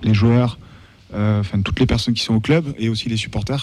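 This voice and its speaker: Ordinary pitch variation shapes this man's delivery. His tone sounds dark and mellow. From France, Toulouse. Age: 30s. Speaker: techno festival organizer and football supporter. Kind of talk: casual radio talk show chat.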